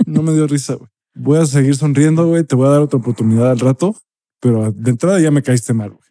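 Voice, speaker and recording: Talking at a very fast pace, a man has a fairly high pitch, a dark, mellow tone and ordinary pitch variation. His loudness swings widely, and the sound is dry and close with no echo. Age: 30s. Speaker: podcast co-host. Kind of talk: casual chat.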